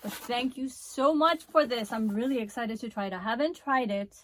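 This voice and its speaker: A woman speaks at a moderate pace with a high pitch and ordinary pitch variation. Noticeable background noise is present. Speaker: beauty vlogger. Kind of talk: product review. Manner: animated.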